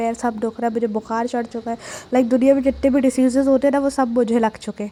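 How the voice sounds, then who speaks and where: A woman's fairly high pitch at a fairly quick pace, with monotone, flat intonation. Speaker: vlogger. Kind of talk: vlog voice-over narration. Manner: casual, chatty.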